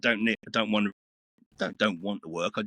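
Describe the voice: At a fairly quick pace, a man with a fairly low pitch and bright, sharp tone speaks with fairly even intonation in a dry, close sound with no echo.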